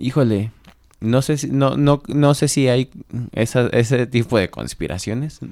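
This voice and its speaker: A man with a normal speaking voice speaks at a fairly slow pace and medium pitch. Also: ordinary pitch variation. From Mexico, Celaya, Guanajuato. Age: 20s. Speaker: politician. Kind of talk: radio interview.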